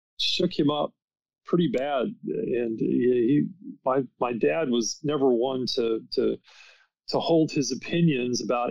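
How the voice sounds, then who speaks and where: With an American accent, a man with a plain, everyday voice speaks at medium pitch with ordinary pitch variation. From United States. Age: 60s. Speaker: author and paranormal researcher. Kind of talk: podcast interview.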